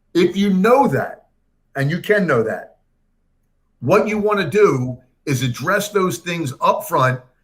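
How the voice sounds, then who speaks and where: A man speaks at a fairly slow pace with long, frequent pauses. His high pitch swings very widely, and his tone is energetic. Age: 60s. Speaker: career coach. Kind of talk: interview. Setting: livestream.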